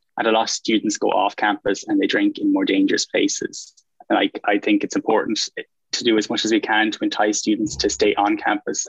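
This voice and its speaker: This man talks at a fairly quick pace with an Irish accent. The sound is dry and close, with no echo. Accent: Irish (Galway). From Ireland, Galway. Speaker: student election candidate. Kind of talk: interview.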